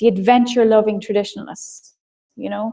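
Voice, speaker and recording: A woman talks at a very fast pace. She has an Irish accent. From Ireland. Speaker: marketing trainer. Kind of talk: webinar lecture. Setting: live online broadcast.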